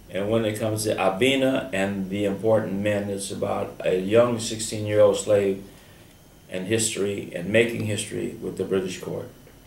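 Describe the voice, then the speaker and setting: In an American accent, the voice holds a monotone, flat intonation amid noticeable background noise and audible room echo. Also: man, fairly low pitch for a man, moderate pace. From US South. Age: 70s. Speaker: radio host. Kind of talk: radio interview.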